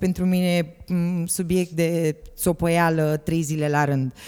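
Over music in the background, a woman with a fairly low pitch speaks in a fairly even intonation. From Romania, Galați. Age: 40s. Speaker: parent of a transgender teen. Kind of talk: interview. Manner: hesitant, many fillers.

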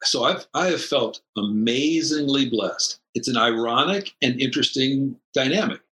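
Over music in the background, a man with a fairly high pitch talks at a moderate pace with hardly any pauses, lively intonation and very even loudness, in a dry, close sound with no echo. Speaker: former sports broadcaster. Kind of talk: casual chat. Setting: video call.

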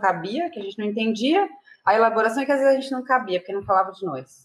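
The speaker is a woman with a fairly high pitch. Her voice moves in very wide pitch swings. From Brazil, Mauá in São Paulo's ABC region. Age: 30s. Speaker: author and activist. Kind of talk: interview. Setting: video call.

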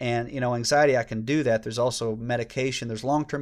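A man with a Southern US accent, medium pitch and fairly even intonation, on a very clean recording with a silent background. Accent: Southern US (Georgia). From US South, Georgia. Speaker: former children's minister. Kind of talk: casual interview.

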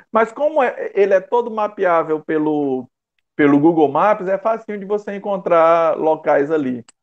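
Lively intonation marks the speech of a man whose pitch is high. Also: fairly slow pace. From Brazil, interior of Maranhão. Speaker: bushcraft group leader. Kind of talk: casual interview chat. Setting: video call live stream. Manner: halting, many fillers.

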